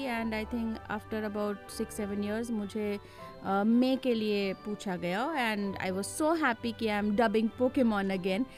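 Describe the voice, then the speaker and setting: Music plays behind a woman who talks with hardly any pauses at a medium pitch, with ordinary pitch variation. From India. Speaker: voice actor. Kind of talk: interview answer.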